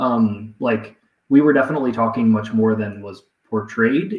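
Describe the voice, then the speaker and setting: A man talks at an even, middling pace, with noticeable echo from the room around him. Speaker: guest. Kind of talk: interview answer. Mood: reflective, relaxed. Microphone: video call.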